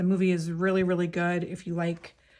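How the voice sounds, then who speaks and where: In a very clean recording with a silent background, a woman speaks at a fairly low pitch with a monotone, flat intonation. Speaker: craft YouTuber. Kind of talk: casual show-and-tell. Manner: fast; chatty, many fillers.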